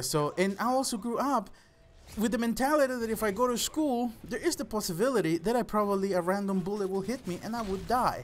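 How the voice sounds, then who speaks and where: A man's fairly quick speech with a Spanish accent. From El Salvador. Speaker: gaming YouTuber. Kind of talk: personal storytelling vlog.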